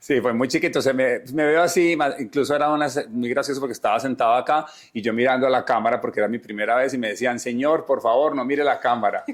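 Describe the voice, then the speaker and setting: Talking at a very fast pace with hardly any pauses, a man with an Antioquian accent speaks at medium pitch with ordinary pitch variation. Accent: Colombian paisa Spanish. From Medellín, Colombia (paisa). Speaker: entertainment journalist. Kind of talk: interview conversation. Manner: animated.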